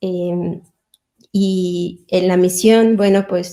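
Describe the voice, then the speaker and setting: Monotone, flat intonation marks a woman's dark, mellow tone. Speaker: chemist and religious missionary at a university. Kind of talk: personal testimony at an online panel.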